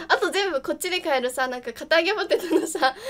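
Light background noise runs under speech delivered at a fairly quick pace. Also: woman. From Kumamoto, Kyushu, Japan. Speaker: game streamer. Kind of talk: casual stream talk. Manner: casual, chatty. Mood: cheerful, laughing. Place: home room. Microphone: studio mic.

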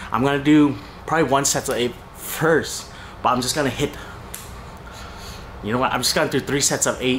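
A man's voice amid noticeable background noise. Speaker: fitness vlogger. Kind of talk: casual vlog chat. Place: garage. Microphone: phone near.

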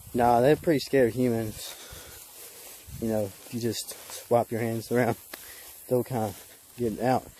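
Here a man talks in a dry sound with no echo. There is light background noise. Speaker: vlogger. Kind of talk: casual vlog chat. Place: open country. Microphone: phone near.

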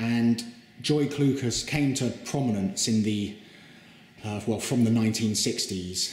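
A man's somewhat breathy voice moves at a very slow pace with ordinary pitch variation and audible room echo. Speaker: presenter. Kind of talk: guided tour commentary. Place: hall. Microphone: phone near.

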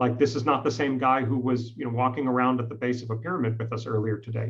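The speaker is a man. The background is quiet. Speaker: interviewee. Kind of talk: interview answer. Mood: somber, reflective. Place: home room. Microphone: headset.

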